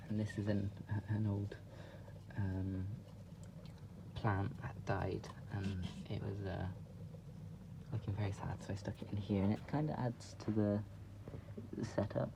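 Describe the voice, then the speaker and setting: A man whispers at a fairly slow pace with long, frequent pauses. Noticeable background noise runs under his voice. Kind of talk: pet enclosure tour to camera. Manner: whispered.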